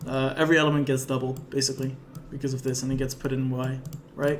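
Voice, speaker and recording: A man talks at a very fast pace in a monotone, flat delivery, with noticeable background noise and audible room echo. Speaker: programming lecturer. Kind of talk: live coding lecture.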